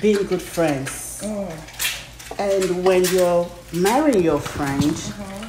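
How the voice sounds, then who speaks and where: A woman's fairly low pitch with ordinary pitch variation at a very slow pace, plus audible room echo and light background noise. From Nigeria. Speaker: pastor. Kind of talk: casual chat. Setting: at her home. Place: kitchen.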